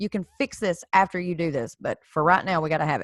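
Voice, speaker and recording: A woman with a normal speaking voice talks at a moderate pace with lively intonation, on a very clean recording with a silent background and a dry, close sound with no echo. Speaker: credit repair tutorial creator. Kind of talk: tutorial. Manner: casual, with fillers and restarts.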